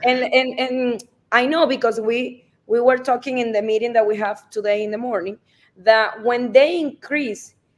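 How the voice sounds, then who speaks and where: A woman with a Spanish accent speaks in a high voice. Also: fairly even intonation, moderate pace. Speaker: real estate advisor. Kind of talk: live stream conversation. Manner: halting.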